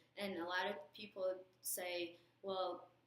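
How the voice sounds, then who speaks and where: A woman's medium-pitched voice over noticeable background noise. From outside US, moved in sixth grade. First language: not English. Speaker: nursing student, alumna. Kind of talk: recorded message with advice. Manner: hesitant, with fillers.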